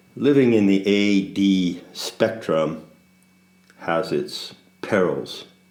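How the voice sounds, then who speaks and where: Audible room echo surrounds a man's fairly low voice with ordinary pitch variation. He talks at a very slow pace, with long, frequent pauses. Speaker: spiritual teacher. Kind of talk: casual monologue. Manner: slow cadence punctuated by silence; pauses, gaps of silence.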